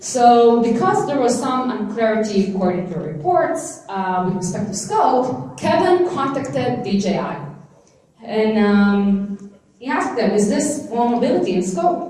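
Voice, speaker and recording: Speaking at a moderate pace with an Israeli accent, a woman with a fairly high pitch makes very wide pitch swings, with noticeable background noise and audible room echo. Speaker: legal scholar and conference speaker. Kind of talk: conference talk. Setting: stage with audience.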